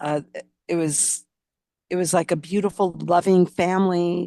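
The sound is dry and close, with no echo. A woman talks with an American accent. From US West Coast. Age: 60s. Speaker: memoir author and insurance agency owner. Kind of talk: casual interview.

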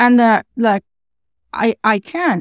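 A woman with a Dutch accent speaks in a fairly high pitch, in a very clean recording with a silent background and a dry, close sound with no echo. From Netherlands. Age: middle-aged. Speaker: web accessibility consultant. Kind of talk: interview. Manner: animated.

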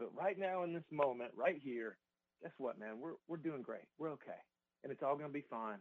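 With a Southern US accent, a man talks at a fairly quick pace using lively intonation. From US South, Georgia. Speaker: musician and songwriter. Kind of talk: radio interview. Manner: casual, relaxed.

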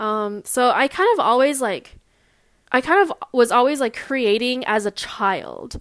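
A woman with a Californian accent at a very slow pace. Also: very clean recording, silent background. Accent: Californian American. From US West Coast (Long Beach, California). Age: 20s. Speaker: podcaster. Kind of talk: solo monologue. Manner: hesitant, many fillers.

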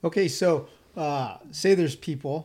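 A man talks in a dark, mellow, somewhat breathy tone with lively intonation. The recording is very clean, with a silent background. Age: 50s. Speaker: motocross podcast host. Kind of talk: casual interview chat.

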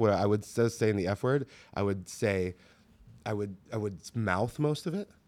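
Recorded very cleanly with a silent background, a man speaks with ordinary pitch variation. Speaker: podcast host. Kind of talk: casual chat. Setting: studio. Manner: loud.

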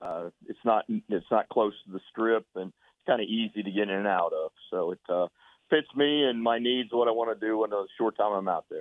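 This man talks neither fast nor slow. The rise and fall of his pitch is ordinary. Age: 60s. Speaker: college basketball coach. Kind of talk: radio interview.

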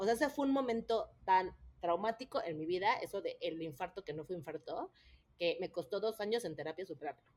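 A woman talks at a fairly quick pace in a normal speaking voice, her pitch medium. Her intonation is lively. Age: 30s. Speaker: mother of triplets. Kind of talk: personal story in interview.

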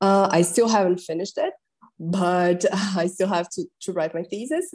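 With a Portuguese accent, a woman speaks at a medium pitch. Her intonation is fairly even. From Brazil. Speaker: translator and linguist, fellowship recipient. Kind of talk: casual interview conversation.

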